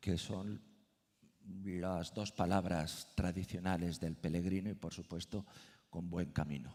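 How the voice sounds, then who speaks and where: With long, frequent pauses, a man speaks in a very deep, low pitch with a dark, mellow tone and fairly even intonation. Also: fairly slow pace. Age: 60s. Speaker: Camino de Santiago expert. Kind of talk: panel discussion.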